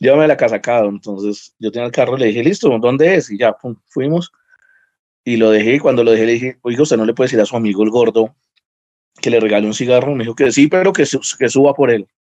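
A man talks at a very fast pace, his medium-pitched voice dark and mellow with ordinary pitch variation, in a dry, close sound with no echo. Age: 30s. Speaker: lawyer and stand-up comedian. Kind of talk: casual interview chat.

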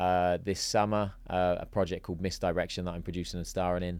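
A man's very deep, low voice in an English accent, with monotone, flat intonation, in a very clean recording with a silent background. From England. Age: 40s. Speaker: actor and entrepreneur. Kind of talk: casual chat.

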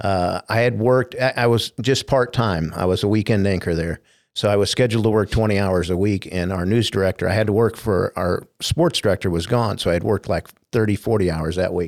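A man with an ordinary speaking voice and an American accent speaks at a fairly quick pace. His pitch is fairly low, with ordinary pitch variation. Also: very clean recording, silent background. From US Midwest, finished in Indianapolis. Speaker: former TV sports anchor. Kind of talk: casual interview.

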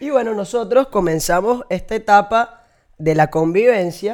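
In a very clean recording with a silent background, a man with a Venezuelan accent talks at a high pitch with lively intonation. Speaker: comedy podcast co-host. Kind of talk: casual comedic chat.

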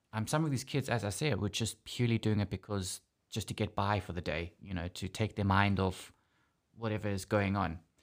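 The recording is very clean with a silent background. A man with a South African accent talks fairly quickly at a fairly low pitch. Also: ordinary pitch variation. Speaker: podcast host. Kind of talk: casual chat. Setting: studio.

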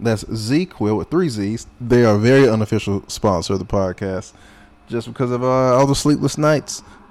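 The speaker has a plain, everyday voice with an American accent. The pace is moderate, with ordinary pitch variation. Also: man. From North Carolina. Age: 20s. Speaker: podcast host and comedian. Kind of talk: casual solo monologue.

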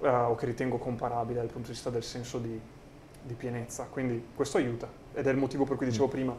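Delivered at a very fast pace, the voice is somewhat breathy and monotone, with flat intonation. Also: man, medium pitch for a man. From rural Italy, small village. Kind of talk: interview conversation.

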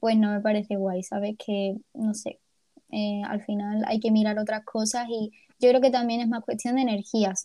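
A woman's fairly high, somewhat breathy voice at a moderate pace, with monotone, flat intonation. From Ceuta, Spain. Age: 20s. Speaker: podcast co-host, university student. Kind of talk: casual chat.

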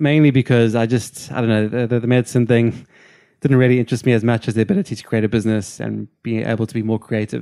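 A man talks very fast in a medium pitch, his dark, mellow tone and fairly even intonation caught in a dry, close recording that is very clean with a silent background. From South Africa, Cape Town. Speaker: company founder. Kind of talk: casual chat.

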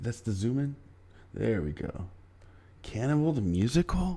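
A man's medium-pitched, somewhat breathy voice, dark and mellow in tone, with very wide pitch swings at a moderate pace. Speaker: podcast host. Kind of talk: casual chat. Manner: laid-back, joking.

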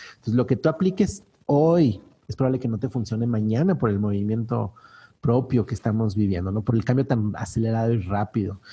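In a somewhat breathy voice with a dark, mellow tone, a man speaks fairly quickly at a medium pitch with ordinary pitch variation. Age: 40s. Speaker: business coach. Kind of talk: interview.

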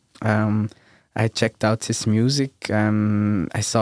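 Recorded very cleanly with a silent background and a dry, close sound with no echo, a man speaks at medium pitch. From Switzerland, Bern. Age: 20s. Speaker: DJ and producer. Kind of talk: casual chat. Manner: halting.

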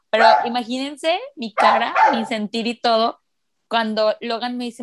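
A woman's high-pitched voice with ordinary pitch variation, in a dry, close sound with no echo. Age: 30s. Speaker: podcast host. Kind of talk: casual chat. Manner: talkative.

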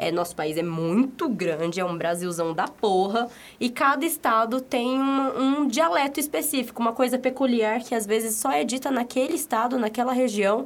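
Speaking high in her range, the woman sounds lively in her intonation. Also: moderate pace, hardly any pauses. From São Paulo, Brazil. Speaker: podcast co-host. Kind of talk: casual chat.

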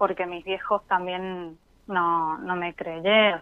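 A woman is speaking. Her pace is very slow. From Mendoza, Argentina. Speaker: caller. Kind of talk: emotional testimony to a host on a call-in show. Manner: nervous, halting.

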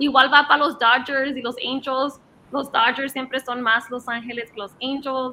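Noticeable background noise sits behind a woman's raised, projected voice. Her pitch is high, her intonation fairly even, and her pace fairly slow. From Los Angeles, US. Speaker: sports commentator. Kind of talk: casual sports panel talk.

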